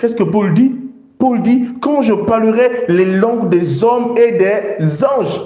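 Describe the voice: In a room with strong echo, a man with a high pitch and a dark, mellow tone speaks slowly, using ordinary pitch variation.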